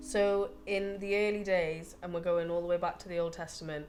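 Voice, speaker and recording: A woman's fairly low voice with a Geordie accent, fairly quick delivery, and audible room echo. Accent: Geordie (Tyneside). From northern England, Newcastle (Gosforth). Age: 30s. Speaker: butcher. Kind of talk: documentary interview. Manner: hesitant, with fillers.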